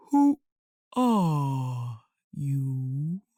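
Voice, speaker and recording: A put-on character voice at a low-to-middle pitch. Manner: languid, sleepy.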